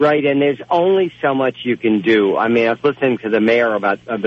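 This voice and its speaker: At a medium pitch with ordinary pitch variation, a man talks at a moderate pace in an unremarkable speaking voice. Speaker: caller. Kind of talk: casual talk about storm.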